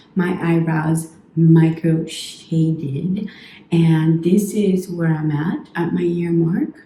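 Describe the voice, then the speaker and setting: Against noticeable background noise, a woman with a fairly low pitch speaks at a very slow pace. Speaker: beauty vlogger. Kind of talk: casual vlog.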